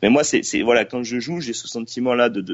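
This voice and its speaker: Male speech with ordinary pitch variation, at a moderate speed. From southeastern France, Gard. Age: 20s. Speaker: playwright, one-man-show comedian and drama teacher. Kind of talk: casual interview. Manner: halting, many repeated words.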